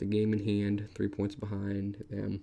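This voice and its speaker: A man speaks with a fairly low-pitched voice. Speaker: video game commentator. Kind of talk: gameplay commentary. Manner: fast.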